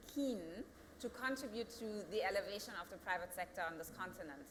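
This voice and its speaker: A woman's medium-pitched voice in a German accent, lively in intonation, with noticeable background noise. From Germany. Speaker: company founder and CEO. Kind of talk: panel discussion. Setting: studio.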